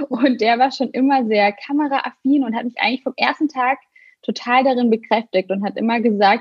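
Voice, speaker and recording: The speech moves at a fairly quick pace with lively intonation. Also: woman. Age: 30s. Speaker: blogger and influencer. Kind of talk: casual interview.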